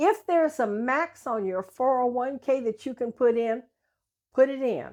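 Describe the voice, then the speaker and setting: A woman speaks with a high pitch. Her pace is very slow. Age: 80s+. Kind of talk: interview answer.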